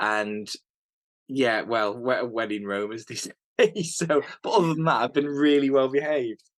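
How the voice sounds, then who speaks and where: With a British accent and a medium pitch, a man speaks at a moderate pace with ordinary pitch variation and long, frequent pauses. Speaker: hunter. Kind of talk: casual interview chat. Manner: halting, repeats words.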